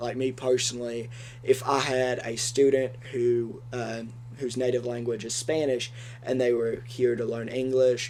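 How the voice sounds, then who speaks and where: In an Appalachian accent, a man talks fairly slowly at a medium pitch, with audible room echo and noticeable background noise. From Kentucky, Appalachia. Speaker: education student podcast co-host. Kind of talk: casual educational discussion.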